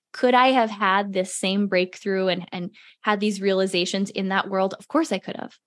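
A woman with an ordinary speaking voice talks at a moderate pace and medium pitch, her intonation fairly even but her loudness swinging widely, over a quiet background. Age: under 55. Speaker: entrepreneur and podcast host. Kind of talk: casual interview.

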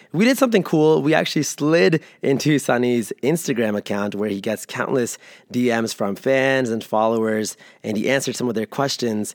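An ordinary speaking voice with an American accent, at a moderate pace with ordinary pitch variation, in a very clean recording with a silent background. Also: man. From US South, Atlanta. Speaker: podcast host. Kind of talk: scripted intro and outro; interview conversation. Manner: upbeat.

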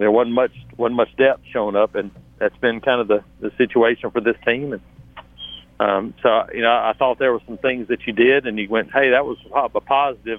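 A man talks at a moderate pace in a plain, everyday voice of medium pitch with fairly even intonation. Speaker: sports reporter and analyst. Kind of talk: sports analysis interview. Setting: phone call. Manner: measured, thoughtful, filler-heavy.

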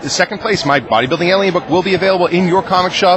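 With an American accent, a man talks at a very fast pace. Noticeable background noise is present. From Massachusetts, US. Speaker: comic book writer. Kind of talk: interview at a convention. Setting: comic convention floor.

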